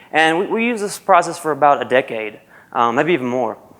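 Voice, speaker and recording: Here a man speaks with a Southern US accent. His pace is fairly quick. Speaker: university programmer analyst. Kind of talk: conference presentation. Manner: casual, with frequent fillers.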